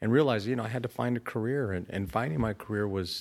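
A man with an American accent speaks at a fairly low pitch with ordinary pitch variation on a very clean recording with a silent background. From Southern California, Inland Empire. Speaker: county supervisor, elected official. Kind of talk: interview.

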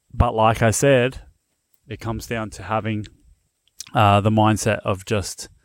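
Relaxed and fairly low in pitch, a man talks with an Australian accent on a very clean recording with a silent background. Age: 30s. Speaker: BMX podcast host. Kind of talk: casual solo podcast talk. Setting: on location at family's place. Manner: relaxed, filler-heavy.

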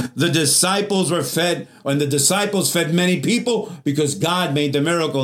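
Pitched fairly high for a man, his voice rises and falls in a normal way against noticeable noise behind him. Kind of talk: sermon. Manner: fervent, call-and-response preaching, urging the congregation to answer amen; bold, exhortative and encouraging, punchy short lines.

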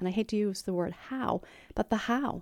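The voice has a dark, mellow tone and ordinary pitch variation. It comes through on a very clean recording with a silent background. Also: woman. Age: 50s. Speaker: real estate agent podcast host. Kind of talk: casual interview chat.

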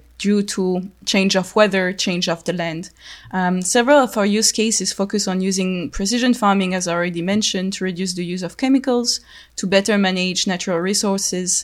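A woman speaks fairly quickly at a medium pitch with a French accent. Her intonation is fairly even. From France. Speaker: podcast host for a research project. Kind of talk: interview. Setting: online call.

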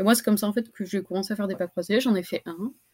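A woman speaks with fairly even intonation. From French Basque Country, Anglet. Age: 20s. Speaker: student and competitive longboard surfer. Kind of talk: casual interview.

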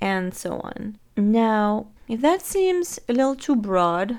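A woman speaks with a French accent. The recording is very clean, the background silent. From France. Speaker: life coach. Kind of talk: solo podcast monologue.

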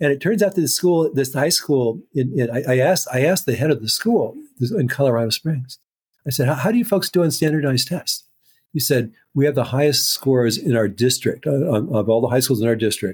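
A man speaks at a fairly high pitch and a fairly quick pace, his intonation lively and his voice somewhat breathy. The recording is very clean with a silent background, and his loudness stays very even. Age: 60s. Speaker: neuropsychologist and author. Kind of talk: interview. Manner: halting, many repetitions.

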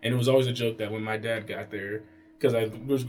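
With an American accent, a man talks at medium pitch with fairly even intonation against noticeable background noise. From Pennsylvania and North Carolina. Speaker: podcast guest, family member. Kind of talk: casual chat.

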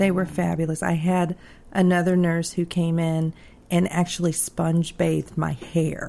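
Here is an ordinary speaking voice. It moves at a moderate pace. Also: woman. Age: 40s. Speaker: aneurysm survivor sharing health story. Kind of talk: personal testimony in interview.

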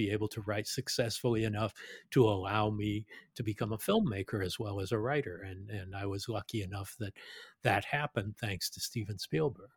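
A man's somewhat breathy, fairly low voice with ordinary pitch variation, at a moderate pace, dry and close with no echo, on a very clean recording with a silent background. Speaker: film director and podcaster. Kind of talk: casual interview chat.

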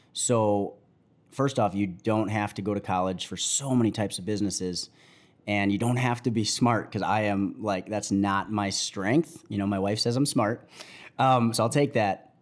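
An unremarkable speaking voice at a moderate pace, fairly even intonation, in a very clean recording with a silent background. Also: man, fairly low pitch for a man. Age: 30s. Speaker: entrepreneur. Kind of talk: casual chat. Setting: studio.

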